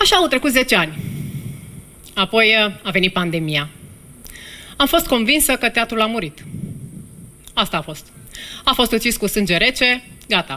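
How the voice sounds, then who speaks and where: Animated and bright, with a sharp tone, a woman speaks at a moderate pace in a fairly high pitch with very wide pitch swings and long, frequent pauses, over light background noise. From Romania. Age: 40s. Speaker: actress and storyteller. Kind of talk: storytelling monologue on stage, comic then moving and confessional. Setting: stage with audience at a theatre festival. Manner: animated, self-ironic, humorous, with emotional, heartfelt pauses. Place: stage. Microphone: headset.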